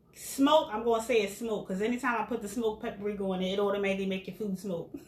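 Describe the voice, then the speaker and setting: Against noticeable background noise, a woman talks at a very fast pace with a medium pitch and ordinary pitch variation. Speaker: caterer and cooking show host. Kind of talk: casual cooking demonstration.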